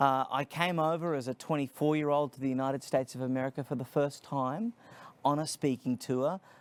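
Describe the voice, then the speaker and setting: In an Australian accent, the speaker talks at a fairly quick pace with ordinary pitch variation, on a very clean recording with a silent background and a dry, close sound with no echo. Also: man. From Australia, Sydney. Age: 30s. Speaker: nonprofit founder, speaker. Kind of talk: interview.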